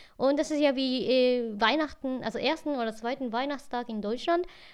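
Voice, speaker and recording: Here a woman talks at a high pitch. Her pace is moderate. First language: Japanese (speaking German). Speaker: podcast co-host. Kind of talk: casual chat. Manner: halting, non-native phrasing.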